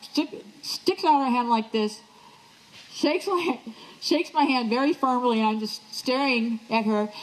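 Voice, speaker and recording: The speech moves at a fairly slow pace with lively intonation. Noticeable background noise sits behind it. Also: woman. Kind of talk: one-woman stage show, storytelling to live audience. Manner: humorous, lively.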